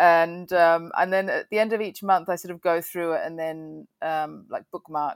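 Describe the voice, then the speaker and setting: With an Australian accent, a woman speaks at a fairly low pitch with ordinary pitch variation, in a very clean, dry, close recording with no echo and a silent background. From Adelaide, South Australia. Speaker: filmmaker and composer. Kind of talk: interview. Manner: hesitant with many fillers.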